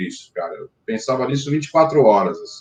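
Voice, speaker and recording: The man here speaks at a fairly high pitch. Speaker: rock band singer and songwriter. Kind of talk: interview. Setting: live stream. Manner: hesitant, many fillers.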